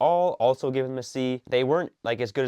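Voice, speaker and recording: An ordinary speaking voice at a moderate pace with ordinary pitch variation, dry and close with no echo, over a quiet background. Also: man. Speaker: sports commentator YouTuber. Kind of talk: casual commentary. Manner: casual, filler-heavy.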